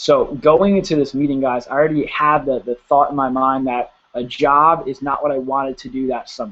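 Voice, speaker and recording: At a moderate pace, a man with an American accent speaks in an ordinary speaking voice with ordinary pitch variation. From Pennsylvania, US. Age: 20s. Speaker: network marketing promoter. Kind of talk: sales pitch. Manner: casual, filler-heavy. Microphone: spotty connection.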